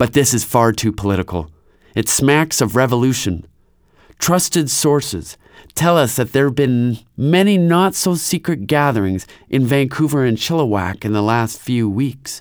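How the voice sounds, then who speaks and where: A man speaks at a medium pitch and a moderate pace, his tone animated and dramatic with lively intonation. The recording is very clean, with a silent background. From Canada. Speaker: storyteller and preacher. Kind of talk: storytelling, dramatized retelling with character voices. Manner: animated, dramatic narration.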